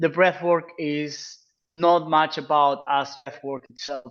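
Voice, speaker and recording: This man has a Peruvian accent and a fairly high pitch. He speaks at a fairly slow pace with fairly even intonation. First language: Spanish. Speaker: freediving instructor. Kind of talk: informational Q&A presentation.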